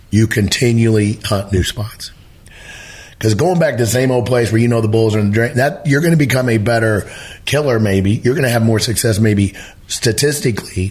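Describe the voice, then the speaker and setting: A man in an American accent at a medium pitch, somewhat breathy, fairly quick, with very even loudness and ordinary pitch variation. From Missouri. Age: 60s. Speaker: elk hunting educator. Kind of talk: podcast interview. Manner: animated.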